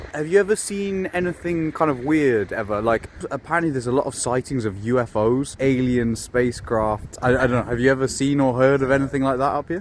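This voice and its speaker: Medium in pitch with ordinary pitch variation, a man talks at a fairly quick pace. He leaves hardly any pauses, and noticeable background noise runs underneath. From southern England. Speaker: YouTube investigator. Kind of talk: vlog and street interview.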